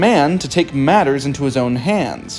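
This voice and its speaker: A moderate pace with music in the background. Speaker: hobby historian. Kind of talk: history narration.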